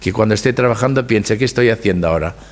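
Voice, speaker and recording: A man is speaking. His voice sits fairly low. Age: 70s. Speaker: hairdresser. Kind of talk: lecture. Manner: halting.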